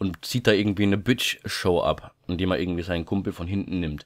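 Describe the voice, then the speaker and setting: The very clean recording, with a silent background, captures a man with a fairly low pitch. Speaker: YouTuber. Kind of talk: casual vlog monologue. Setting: home recording at night. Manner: quieter than usual; many filler sounds.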